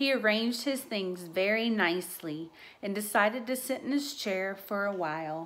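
Intonation is lively in this unforced reading voice.

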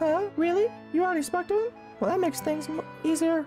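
A man's put-on character voice, squeaky and extremely high, racing at a very fast pace over clear music in the background. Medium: game stream. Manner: eager, breathless.

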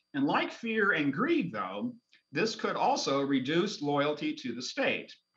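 A man's fairly high voice with very wide pitch swings, over a quiet background. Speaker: political science professor. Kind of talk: lecture. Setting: video call. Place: home room. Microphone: echo and feedback loop on the line; video call.

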